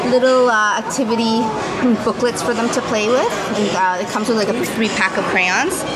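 A woman speaks at a fairly quick pace over crowd noise in the background. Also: ordinary pitch variation. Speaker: family vlogger. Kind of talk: casual vlog chat. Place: cafe. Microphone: phone near.

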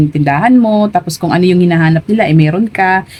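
Here a woman speaks at a fairly low pitch. Her pitch varies in an ordinary way. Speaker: sari-sari store owner and vlogger. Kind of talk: casual vlog tutorial. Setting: inside her store. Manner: chatty, frequent fillers and hesitations.

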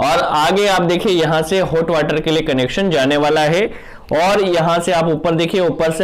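Fairly slow pacing with ordinary pitch variation. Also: man. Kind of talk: tutorial. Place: bathroom. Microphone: phone near.

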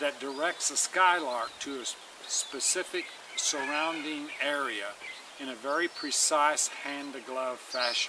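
The speech moves at a fairly slow pace. The sound is dry with no echo, over noticeable background noise. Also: man. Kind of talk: informal lecture-style summary. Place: garden. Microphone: camera far.

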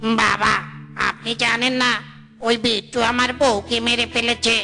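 A cartoonish character voice cackles at a fairly high pitch. The pace is fairly slow, with clear background noise. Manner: cackling, spiteful villain.

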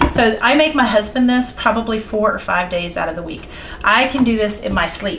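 This is a woman with an ordinary speaking voice, fairly high in pitch with ordinary pitch variation, talking at a fairly quick pace over light background noise. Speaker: homesteading cooking video host. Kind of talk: cooking tutorial. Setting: home kitchen. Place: kitchen.

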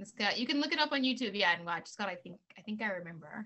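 A woman's voice moves in very wide pitch swings. The background is quiet. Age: 40s. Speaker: author and actress; actress. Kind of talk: casual interview. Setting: video call. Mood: warm, animated. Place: home room. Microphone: video call.

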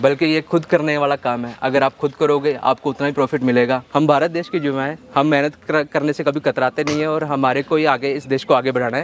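A man at a fairly high pitch, monotone and flat, at a moderate pace with hardly any pauses, in a dry sound with no echo and light background noise. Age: 20s. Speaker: goat farmer. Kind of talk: interview. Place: farm machine.

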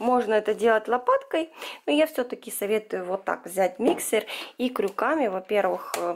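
Lively intonation marks speech delivered at a moderate pace. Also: woman, medium pitch for a woman.

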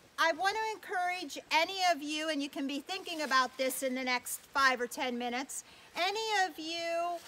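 A woman's raised, projected voice with ordinary pitch variation over light background noise. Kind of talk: public address to a small crowd. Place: forest.

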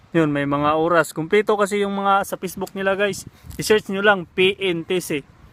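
Fairly even intonation marks a man's high-pitched voice as he talks at a moderate pace. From Visayas or Mindanao, Philippines. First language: Cebuano (Bisaya) (speaking Tagalog). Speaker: vlogger, overseas worker. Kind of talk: casual vlog talk. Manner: halting, with many fillers.

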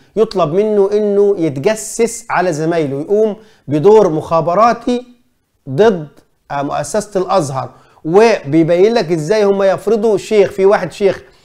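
Against a quiet background, a man with a high pitch and a dark, mellow tone speaks at a very slow pace with ordinary pitch variation. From Egypt. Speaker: journalist and commentator; journalist, commentator. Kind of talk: film review monologue. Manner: animated. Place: studio. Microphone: lapel.

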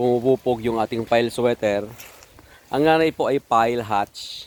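A man talks at a moderate pace and a medium pitch with ordinary pitch variation, in a dry, close sound with no echo and noticeable background noise. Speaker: backyard gamefowl breeder vlogger. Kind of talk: casual video walkthrough. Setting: outdoors in backyard.

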